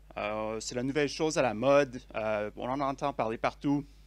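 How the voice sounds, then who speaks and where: A man with a Quebec accent speaks at a fairly high pitch on a very clean recording with a silent background. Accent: Québécois French. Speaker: conference speaker, software developer. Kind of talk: tech conference talk. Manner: hesitant, many fillers.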